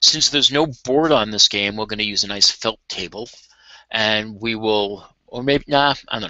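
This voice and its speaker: A man talks in a plain, everyday voice at a medium pitch and moderate pace. His pitch variation is ordinary, while his loudness swings widely. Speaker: game modding tutorial streamer. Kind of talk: tutorial. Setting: live video stream. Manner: casual.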